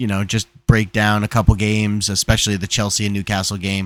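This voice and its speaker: The recording is very clean, with a silent background. A man speaks with an American accent. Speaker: football podcast host. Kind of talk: casual chat. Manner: animated.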